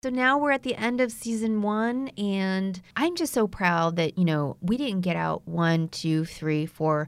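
In an American accent, a woman with an ordinary speaking voice speaks at a medium pitch with lively intonation, at a fairly slow pace with hardly any pauses. The recording is very clean and the background silent. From United States (came from Vietnam as infant). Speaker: podcast host. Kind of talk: appeal to listeners; casual chat.

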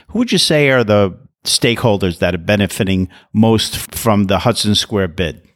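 At a fairly quick pace, a man with a normal speaking voice and a fairly low pitch is heard on a very clean recording with a silent background. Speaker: podcast host. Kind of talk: interview, scripted intro. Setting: recording in an office.

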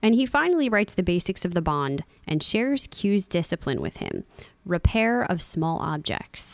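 A woman talks at a moderate pace in a plain, everyday voice, her intonation lively. The recording is very clean, with a silent background. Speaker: podcast host. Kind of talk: casual podcast episode review.

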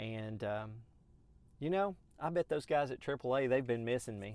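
Speaking with a Southern US accent, a man keeps a medium pitch, a moderate pace and lively intonation. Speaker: podcast host. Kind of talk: solo podcast monologue. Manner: casual, conversational with fillers.

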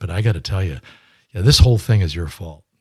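Talking at a very fast pace, a man has a fairly low voice. It sounds somewhat breathy. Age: 70s. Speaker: fundraising consultant and author. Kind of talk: interview. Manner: hesitant, filler words.

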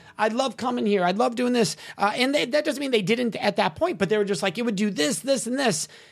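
A man talks at a high pitch and fairly quick pace, with hardly any pauses. His tone is animated and his intonation lively, over noticeable background noise. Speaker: consent educator and speaker. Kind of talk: interview conversation.

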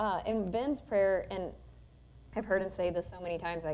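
A woman with an unremarkable speaking voice, medium pitch and ordinary pitch variation, at a fairly quick pace. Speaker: radio host. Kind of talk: casual chat. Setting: church.

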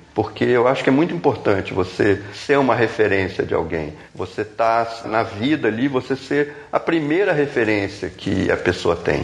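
A man speaks at a moderate pace and medium pitch with lively intonation. His loudness stays very even over noticeable background noise. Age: 50s. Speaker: visual artist and tattoo artist. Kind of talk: casual chat.

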